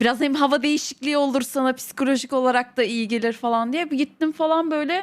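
This woman has a high pitch with ordinary variation. She speaks at a fairly quick pace. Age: 20s. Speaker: streamer's wife. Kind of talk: casual chat.

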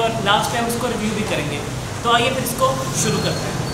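Over loud background noise and audible room echo, a man speaks at a moderate pace. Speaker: food vlogger. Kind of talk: casual vlog intro. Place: cafe.

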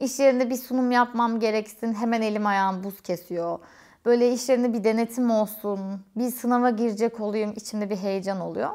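A woman's dark, mellow tone against a quiet background. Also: fairly even intonation, moderate pace. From Turkey, Eskişehir; Turkey. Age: 30s. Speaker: YouTuber and quality engineer; vlogger. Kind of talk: casual Q&A vlog. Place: home room.

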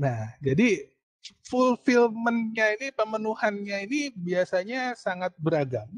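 Against a quiet background with a dry, echo-free sound, a man with a high pitch speaks at a fairly slow pace with lively intonation. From Indonesia. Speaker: university lecturer. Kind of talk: online lecture; lecture. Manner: hesitant with fillers. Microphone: video call.

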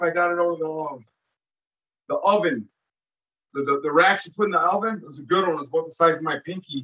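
A man's raised, projected voice, bright and sharp in tone, at a fairly quick pace with ordinary pitch variation and a quiet background. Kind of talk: interview answer. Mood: intense storytelling. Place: home room. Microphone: video call.

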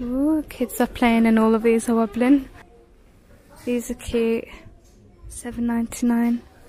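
The voice has a dark, mellow tone, little pitch movement, and a fairly slow pace. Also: woman, fairly high pitch for a woman.

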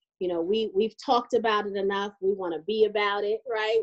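A woman speaks at a fairly quick pace with fairly even intonation. The background is quiet. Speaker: co-host. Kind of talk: casual chat. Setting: video call. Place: home room. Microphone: video call.

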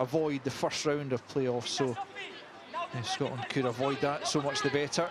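Over noticeable background noise, a man talks at a fairly slow pace in a fairly high pitch with fairly even intonation. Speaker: match commentator. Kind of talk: live match commentary.

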